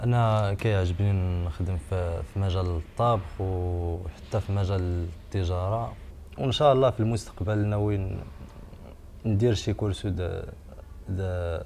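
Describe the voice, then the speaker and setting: A man's very deep, low voice with fairly even intonation at a fairly slow pace. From Morocco. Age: 20s. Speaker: job seeker. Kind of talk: video CV self-introduction. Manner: halting.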